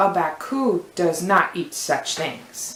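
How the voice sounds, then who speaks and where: Using a put-on character voice, a woman of medium pitch speaks at a very slow pace with a slight echo. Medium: read story.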